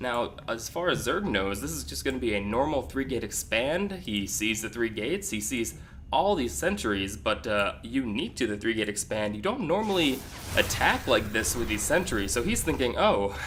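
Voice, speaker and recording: This man talks at a moderate pace in a medium pitch, his voice showing vocal fry and very wide pitch swings. Audible room echo surrounds the recording. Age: young. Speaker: video game commentator. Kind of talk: casual chat; live commentary. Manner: hesitant, many fillers.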